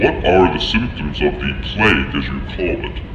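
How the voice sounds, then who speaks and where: Loud background noise and a slight echo surround a man doing a put-on character voice. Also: moderate pace. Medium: audio drama. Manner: formal, clinical.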